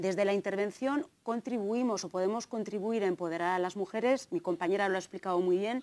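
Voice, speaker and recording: A woman talks at a fairly quick pace with ordinary pitch variation and a slight Navarrese accent. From Navarre, Spain (Tafalla); Navarre, Spain. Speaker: gender studies lecturer and researcher; gender studies lecturer. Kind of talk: conference talk. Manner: hesitant, many fillers. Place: hall. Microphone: lapel.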